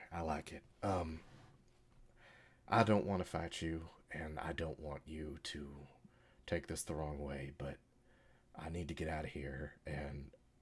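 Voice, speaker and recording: Using a put-on character voice, a man speaks very deep and low, raspy, at a fairly slow pace with fairly even intonation. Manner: formal, wordy.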